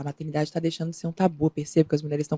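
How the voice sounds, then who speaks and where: A woman speaks with a dark, mellow tone at a fairly low pitch. The sound is dry and close, with no echo. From Minas Gerais, Brazil. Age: 30s. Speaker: actress. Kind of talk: interview.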